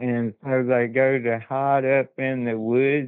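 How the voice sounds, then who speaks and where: With an Appalachian accent, a man talks at a medium pitch and with fairly even intonation. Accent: Appalachian Southern American. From US South, southwest Virginia Appalachia. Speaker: witness sharing encounters. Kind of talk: casual interview, personal accounts. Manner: halting, repeats words.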